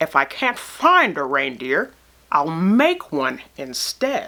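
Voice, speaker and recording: A put-on, growling character voice at a very slow pace. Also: woman, fairly low pitch for a woman. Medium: read story. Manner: snarling, sneering.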